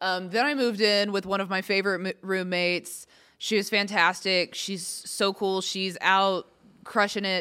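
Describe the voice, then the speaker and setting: Speaking with an American accent at a moderate pace, a woman has a bright, sharp tone, a medium pitch and fairly even intonation on a very clean recording with a silent background. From Texas. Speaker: comedian. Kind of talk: casual chat. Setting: podcast.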